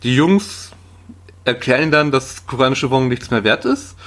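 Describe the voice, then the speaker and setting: Recorded very cleanly against a silent background, a man talks at a moderate pace and a medium pitch. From Saxony-Anhalt, eastern Germany. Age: 30s. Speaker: film podcaster. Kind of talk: casual chat.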